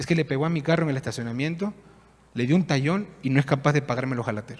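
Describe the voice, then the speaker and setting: A man talks at a very fast pace in a fairly high, somewhat breathy voice. His pitch varies in an ordinary way. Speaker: pastor. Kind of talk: sermon.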